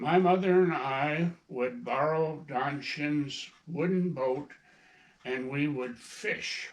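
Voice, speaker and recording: A man with a Minnesota accent talks at a very slow pace. His pitch is fairly high and his intonation fairly even. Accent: Upper Midwest, Minnesota. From northern Minnesota, Iron Range. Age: 80s+. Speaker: grandfather and hunter. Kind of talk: casual interview, storytelling. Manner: halting, with fillers.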